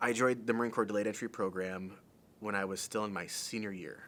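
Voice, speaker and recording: A plain, everyday voice from a man with an American accent, fairly low in pitch with fairly even intonation, in a very clean recording over a silent background. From US Midwest, Temperance, Michigan. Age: 20s. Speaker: MMA fighter and Marine veteran. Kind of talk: interview monologue.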